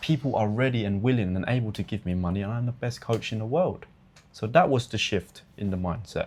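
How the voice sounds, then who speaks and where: The speaker is a man with a British accent. He talks at a fairly quick pace. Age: 20s. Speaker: online fitness coach. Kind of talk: interview. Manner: animated.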